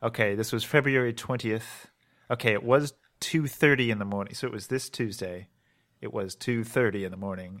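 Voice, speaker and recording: A plain, everyday voice with an American accent talks at a fairly quick pace with ordinary pitch variation on a very clean recording with a silent background. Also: man, medium pitch for a man. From Maryland, US. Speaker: gaming podcast co-host. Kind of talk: casual chat.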